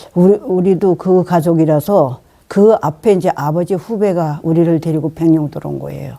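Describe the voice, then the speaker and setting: A woman with a dark, mellow tone and fairly low pitch speaks at a moderate pace with fairly even intonation, in a very clean recording over a silent background. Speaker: nursing home resident. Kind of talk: interview answer.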